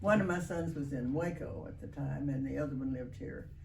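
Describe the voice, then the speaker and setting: Amid noticeable background noise and audible room echo, a woman with an American accent talks at a moderate pace. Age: 90s. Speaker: retiree, interviewee. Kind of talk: interview.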